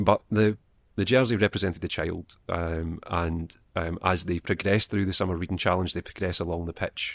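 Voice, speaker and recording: Recorded very cleanly against a silent background, the speaker talks at a fairly quick pace with a Scottish accent and fairly even intonation, the sound dry and close with no echo. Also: man. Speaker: library children's assistant. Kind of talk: casual chat.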